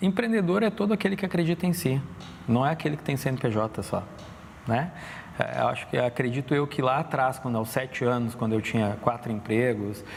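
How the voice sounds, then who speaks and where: A man speaks fairly quickly at a medium pitch, with very wide pitch swings. His loudness stays very even, though noticeable background noise is present. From Brazil, Rio Grande do Sul north coast (Torres). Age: 40s. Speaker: illustrator and entrepreneur. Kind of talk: interview conversation. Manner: hesitant, many fillers.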